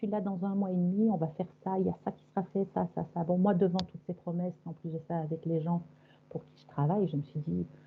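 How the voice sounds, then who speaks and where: A woman's fairly low, somewhat breathy voice carries ordinary pitch variation. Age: 60s. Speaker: hypnosis session client. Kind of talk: personal testimony. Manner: halting.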